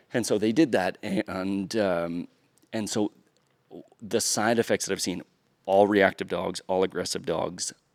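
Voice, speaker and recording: A man's fairly low voice at a fairly slow pace, with long, frequent pauses and a dry, close sound with no echo. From US East Coast. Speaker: dog trainer. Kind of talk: podcast interview. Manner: halting.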